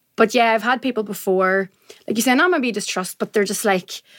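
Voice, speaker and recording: In a Northern Irish accent, a woman speaks at a fairly high pitch with ordinary pitch variation, the sound dry and close with no echo. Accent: Northern Irish (Tyrone). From Northern Ireland, County Tyrone. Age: 20s. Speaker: journalist. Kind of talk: casual chat. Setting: studio.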